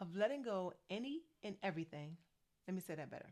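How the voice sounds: A woman's slightly mellow voice, fast-paced, with big pitch swings. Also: fairly low pitch for a woman.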